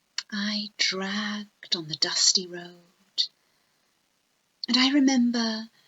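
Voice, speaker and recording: A soft-spoken woman's voice, fairly high in pitch, at a very slow pace with long, frequent pauses and ordinary pitch variation. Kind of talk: ASMR poetry reading. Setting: home recording, basic microphone. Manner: softly spoken.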